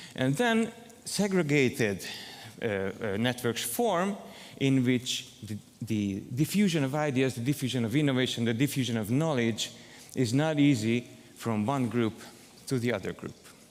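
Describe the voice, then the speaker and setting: A man with a Hungarian accent speaks at a fairly slow pace. His pitch sits in the middle range, and his intonation is lively. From southern Hungary. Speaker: academic researcher, conference keynote speaker. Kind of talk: keynote lecture. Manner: hesitant, many fillers.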